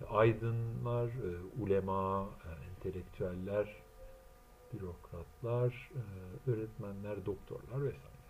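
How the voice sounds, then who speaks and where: In a room with audible echo, a man with a fairly low voice speaks at a very slow pace. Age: 40s. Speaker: translator and self-styled theorist. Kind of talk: solo monologue lecture. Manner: halting, many filler sounds.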